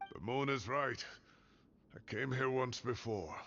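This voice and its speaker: Using a put-on character voice, a man speaks at a fairly slow pace and medium pitch in a weary tone. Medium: video game. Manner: weary, gruff.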